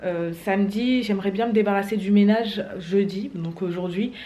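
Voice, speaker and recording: A woman speaks at a moderate pace, her intonation lively. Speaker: vlogger. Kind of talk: casual vlog chat. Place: home room. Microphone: phone near.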